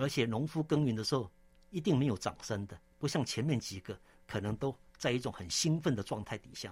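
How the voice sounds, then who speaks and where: The speaker sounds somewhat breathy, moving at a fairly quick pace with lively intonation. The recording is very clean, with a silent background. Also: man, medium pitch for a man. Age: 60s. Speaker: theological seminary president and church elder. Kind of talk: interview testimony; sermon-like scripture exposition. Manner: frequent filler 'ah' particles.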